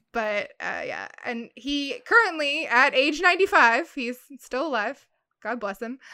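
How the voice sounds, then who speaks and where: Speaking at a fairly slow pace, a woman uses a raised, projected voice with a high pitch, lively intonation and big swings in loudness. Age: 30s. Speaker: podcast guest. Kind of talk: casual chat.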